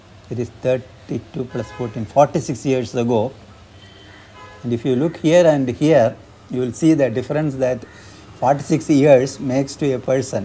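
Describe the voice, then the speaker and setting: A man talks at a moderate pace with ordinary pitch variation while music plays behind him. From South India, Kerala. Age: old. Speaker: amateur radio operator, retired teacher. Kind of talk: documentary interview answer. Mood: gentle, reflective, slightly amused. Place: home room. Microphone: lapel.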